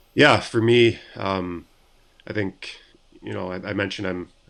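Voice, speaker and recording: A man with a Canadian accent and a very deep, low pitch. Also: quiet background. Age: 30s. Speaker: professional ice hockey player. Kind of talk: interview. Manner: halting, many repetitions and fillers.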